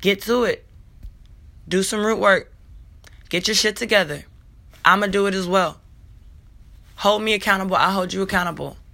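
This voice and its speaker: A woman's bright, sharp voice at medium pitch, moderate pace and fairly even intonation, broken by long, frequent pauses. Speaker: spiritual podcast host, self-described healer. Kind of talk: spiritual monologue. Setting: home recording, morning. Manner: casual, conversational.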